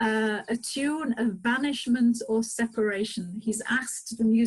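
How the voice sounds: The recording features a natural reading voice.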